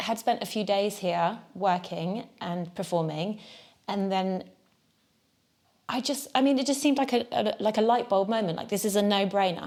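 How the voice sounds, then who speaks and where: A woman at a medium pitch and moderate pace, in a southern English accent with ordinary pitch variation, on a very clean recording with a silent background. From Devon, southwest England. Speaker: jazz musician. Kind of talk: interview.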